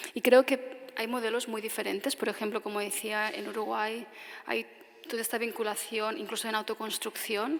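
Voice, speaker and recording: With a normal speaking voice, a woman talks at a moderate pace in a fairly high pitch and with fairly even intonation. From Tarragona, Catalonia, Spain. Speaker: architect giving a lecture. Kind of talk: audience Q&A answer after lecture.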